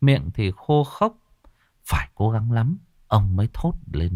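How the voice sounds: Just a natural reading voice.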